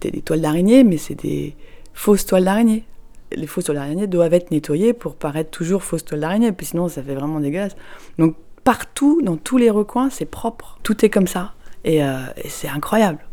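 The tone is dark and mellow. Delivery is fairly quick, with lively intonation. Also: woman. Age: 40s. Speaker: parent recounting a Disneyland visit. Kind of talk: personal testimony.

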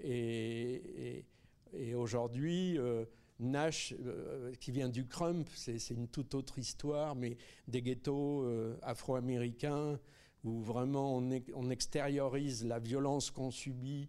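Over a silent background in a very clean recording, a man with a medium pitch and a dark, mellow tone speaks very slowly with fairly even intonation. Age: 70s. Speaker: film director. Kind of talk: Q&A after film screening. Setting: cinema screening with audience.

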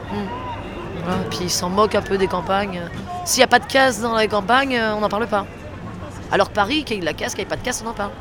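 Crowd noise fills the background as the speaker talks at a fairly quick pace, broken by long, frequent pauses. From Auvergne, France. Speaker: protester. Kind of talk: street interview.

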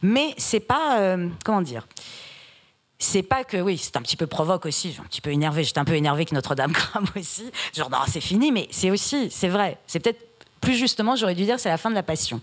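Animated in tone, a woman at a medium pitch talks at a fairly quick pace with very wide pitch swings. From Iran, raised in France from age 8. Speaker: writer. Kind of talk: literary panel discussion.

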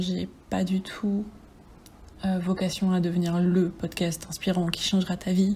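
The voice is somewhat breathy, with a dark, mellow tone. The pace is fairly slow. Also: woman. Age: 20s. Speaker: podcaster and bookseller apprentice. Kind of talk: casual solo monologue.

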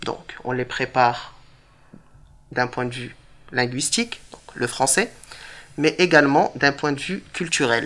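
Long pauses come often, keeping the speech at a very slow pace. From Morocco, moved to northern France (Tourcoing) at 10. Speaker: teacher. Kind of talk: interview with school pupils.

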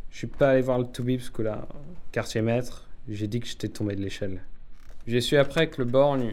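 Using fairly even intonation, a man with a medium pitch speaks at a moderate pace, leaving long, frequent pauses. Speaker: young submarine mechanic character. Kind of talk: scripted audio drama, in-character dialogue. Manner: halting, anxious, hesitant with fillers and repeated apologies.

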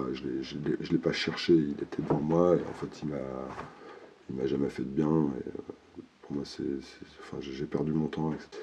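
At a very slow pace, a man speaks in a very deep, low pitch with monotone, flat intonation. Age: 40s. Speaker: interviewee sharing testimony on hearing voices. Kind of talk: testimony. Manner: halting.

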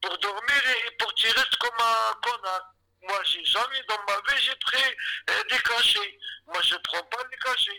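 A man talks very slowly in a raised, projected voice. His pitch is extremely high. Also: ordinary pitch variation. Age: 50s. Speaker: detainee. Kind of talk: testimony. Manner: agitated; halting.

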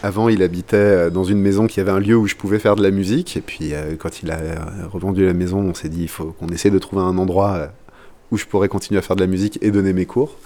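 Fairly quick in pace, a man speaks with an unremarkable speaking voice. His pitch varies in an ordinary way. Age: 30s. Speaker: drum teacher. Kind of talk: casual interview.

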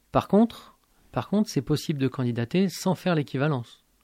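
A man with a normal speaking voice and lively intonation at a moderate pace, in a very clean, dry, close recording with a silent background and no echo. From born in Algeria. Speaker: university math lecturer and activist. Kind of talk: radio interview. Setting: radio studio, live.

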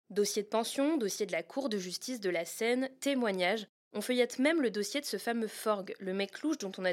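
At a fairly quick pace, a woman talks with a medium pitch. Her pitch varies in an ordinary way. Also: hardly any pauses. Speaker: podcast host and narrator. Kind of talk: true-crime narration, first-person investigative storytelling. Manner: intimate, conversational and lightly wry, with vivid scene-setting and hesitant asides.

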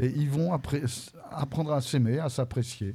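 A man's medium-pitched, somewhat breathy voice with a dark, mellow tone, ordinary pitch variation and a moderate pace. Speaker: French teacher and comics expert. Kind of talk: interview on school radio.

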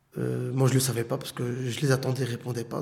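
A somewhat breathy male voice. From Brussels, Belgium. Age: 30s. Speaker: former detainee. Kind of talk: testimony.

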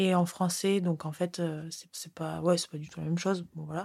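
A woman's fairly low, dark, mellow voice, fairly quick and in a monotone, flat intonation, on a very clean recording with a silent background. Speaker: former PhD student. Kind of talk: interview conversation.

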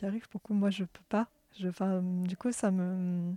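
A woman's dark, mellow tone at a moderate pace, in a dry, close sound with no echo. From France, Orléans. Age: 20s. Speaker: workshop participant. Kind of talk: personal testimony.

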